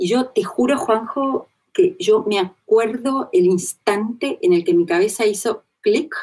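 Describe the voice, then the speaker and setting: Speaking very slowly in a Rioplatense accent, a woman uses a fairly high pitch with very wide pitch swings. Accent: Argentine Rioplatense Spanish. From Argentina. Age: 40s. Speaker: interviewee sharing personal spiritual experience. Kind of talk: testimony in interview.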